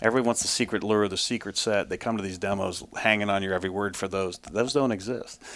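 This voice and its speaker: Very fast speech with an American accent and fairly even intonation. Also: man, fairly low pitch for a man. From Ohio, US Midwest. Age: 50s. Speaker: trapper and salesman. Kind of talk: casual interview. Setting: trappers convention.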